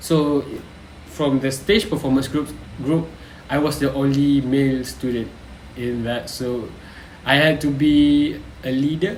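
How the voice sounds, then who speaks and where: A man with a Malaysian accent at fairly high pitch, fairly slow, with long, frequent pauses and audible room echo. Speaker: university student. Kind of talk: reflective vlog. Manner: hesitant, with frequent fillers.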